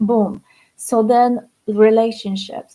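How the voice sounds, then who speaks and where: A woman speaks with a Polish accent. Her voice is fairly high in pitch with a dark, mellow tone. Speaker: spiritual coach. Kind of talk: livestream talk. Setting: livestream.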